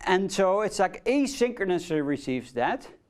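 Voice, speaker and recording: Someone speaks with a Dutch accent on a very clean recording with a silent background. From Netherlands. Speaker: university lecturer. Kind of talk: lecture. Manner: hesitant, many fillers.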